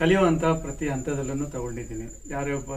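Speaking with fairly even intonation, a man with a fairly high voice is heard against audible room echo. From Davangere, Karnataka. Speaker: farmer. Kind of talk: interview.

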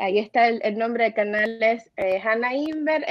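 A woman speaks in a high voice. The background is quiet. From Cuba. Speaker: film producer and new online show host; new online show host. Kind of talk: interview. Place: home room. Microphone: video call.

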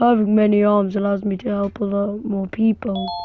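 A woman's put-on character voice at a medium pitch, monotone and flat, over clear background noise. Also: moderate pace. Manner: cheerful, helpful.

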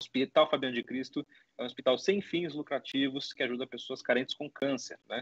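A man's fairly high-pitched voice at a very fast pace, with ordinary pitch variation and a dry sound with no echo. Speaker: podcast host. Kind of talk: podcast intro. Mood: warm, upbeat. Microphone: video call.

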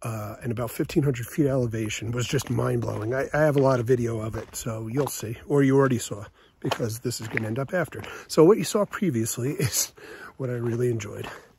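A somewhat breathy man speaks at a fairly quick pace with ordinary pitch variation. The sound is dry with no echo, and there is noticeable background noise. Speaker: long-distance hiker vlogger. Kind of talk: casual vlog chat. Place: forest. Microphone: phone near.

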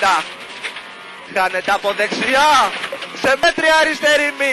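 A man in a raised, projected voice speaks at a very slow pace with an extremely high pitch and an intense tone. The sound is dry with no echo, with noticeable background noise. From Greece. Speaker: rally co-driver reading pace notes. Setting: in a rally car on a gravel stage. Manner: tense, intense, with rhythmic delivery and brief praise. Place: car. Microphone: helmet.

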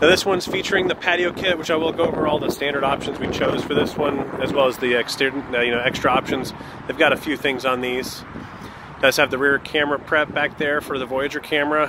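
A man talks very fast with fairly even intonation in a dry recording with no echo but noticeable background noise. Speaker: RV salesman. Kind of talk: sales walkthrough commentary. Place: open country. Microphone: phone near.

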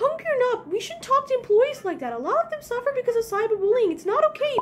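At a very fast pace and an extremely high pitch, a woman speaks with lively intonation over clear background noise. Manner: scolding, exasperated.

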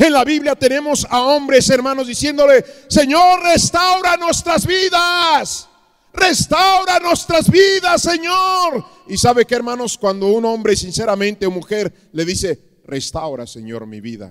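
Over a quiet background, a man is shouting at an extremely high pitch and a fairly slow pace. His pitch swings very wide, and his loudness swings greatly. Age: 50s. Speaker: pastor. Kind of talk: sermon. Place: church. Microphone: handheld.

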